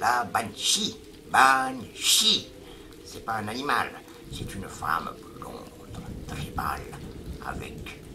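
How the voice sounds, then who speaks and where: Putting on a gravelly character voice, a man whispers at a very slow pace over clear background noise. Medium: read story. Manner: earnest, slightly halting French.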